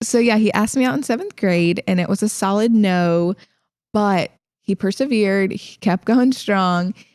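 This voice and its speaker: With a slight Southern US accent, a woman speaks at a moderate pace and medium pitch with ordinary pitch variation, in a dry, close sound with no echo and a very clean recording with a silent background. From Illinois, then South Carolina most of life. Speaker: podcast host, fitness coach. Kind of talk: casual chat.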